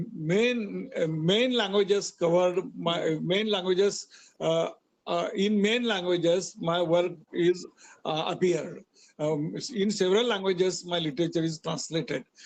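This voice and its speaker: At a moderate pace, a man with a Marathi accent speaks at a high pitch with ordinary pitch variation. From Maharashtra, India. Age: 60s. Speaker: author. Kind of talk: interview. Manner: halting.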